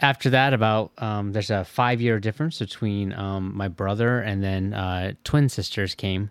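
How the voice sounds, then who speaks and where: Here is a man with a Midwestern American accent and a fairly low pitch. He talks at a fairly slow pace. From Michigan. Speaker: IT professional. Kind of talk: casual interview. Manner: hesitant, many fillers.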